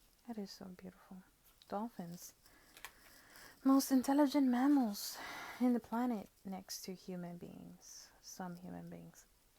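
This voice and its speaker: A woman speaks at a medium pitch and a fairly slow pace in a relaxed, dark, mellow tone, somewhat breathy and with long, frequent pauses. Her loudness swings widely, while her pitch variation is ordinary. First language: not English. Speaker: tarot and oracle card reader. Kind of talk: product review with card walkthrough. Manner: relaxed, musing.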